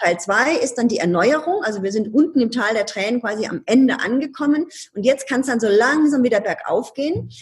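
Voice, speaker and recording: A woman's high-pitched, animated voice over noticeable background noise. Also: lively intonation, fairly quick pace. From Ludwigshafen, Palatinate, Germany. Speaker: change consultant and speaker. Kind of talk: interview conversation.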